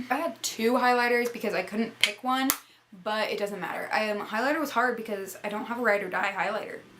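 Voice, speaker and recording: In a room with audible echo and noticeable background noise, a woman talks at a very fast pace with a fairly high pitch and ordinary pitch variation. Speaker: beauty vlogger. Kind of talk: casual product review talk. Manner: animated.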